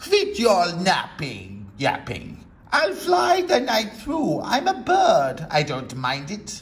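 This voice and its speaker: A man uses a put-on character voice with a high pitch. He talks at a very slow pace with hardly any pauses. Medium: read story. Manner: smug, dismissive.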